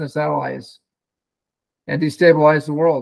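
The setting is quiet. A man talks at a moderate pace. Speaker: remote speaker. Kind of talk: keynote speech. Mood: formal, measured. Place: home room. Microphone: video call.

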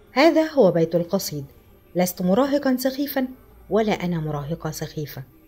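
Nothing but plain reading aloud

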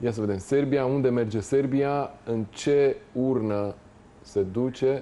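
With a dark, mellow tone at medium pitch, a man speaks at a very slow pace. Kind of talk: studio football analysis. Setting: studio.

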